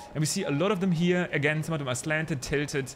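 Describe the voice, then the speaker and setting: The speaker is a man with a non-native accent. His voice is somewhat breathy. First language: not English. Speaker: gaming YouTuber and streamer. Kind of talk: gameplay commentary. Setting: home recording at PC. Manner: casual, with frequent fillers.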